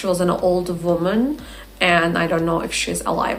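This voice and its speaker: A woman with an Azerbaijani accent at a fairly slow pace, amid noticeable background noise and audible room echo. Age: 20s. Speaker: English teacher. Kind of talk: casual vlog talk.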